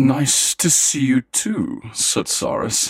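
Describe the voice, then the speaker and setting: A man uses a put-on character voice with a fairly high pitch, speaking at a very slow pace. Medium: actual play. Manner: haughty, dry.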